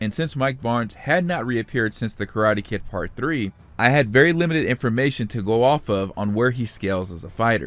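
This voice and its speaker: A man at medium pitch with lively intonation and a fairly quick pace, music in the background. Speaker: YouTube commentator, TV series analyst. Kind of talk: video commentary / analysis. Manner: fast.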